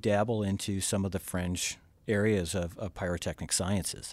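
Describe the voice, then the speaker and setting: At a moderate pace, a man speaks in a plain, everyday voice with fairly low pitch on a very clean recording with a silent background. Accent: American. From US South, Georgia. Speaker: pyrotechnics company president. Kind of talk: casual interview. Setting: studio, in person.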